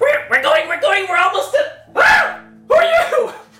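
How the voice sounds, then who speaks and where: In a put-on character voice with an extremely high pitch, the speaker goes at a fairly slow pace, with a slight echo in the sound. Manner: startled, suspicious.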